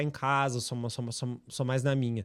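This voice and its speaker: A man with a southern Brazilian accent speaks at a very fast pace on a very clean recording with a silent background. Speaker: personal trainer. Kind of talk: podcast interview.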